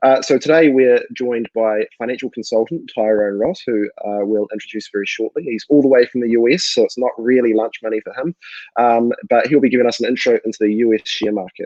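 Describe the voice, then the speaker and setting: A man with a New Zealand accent talks at a very fast pace. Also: medium pitch for a man, ordinary pitch variation. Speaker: co-founder and webinar host. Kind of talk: live webinar introduction. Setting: live online webinar.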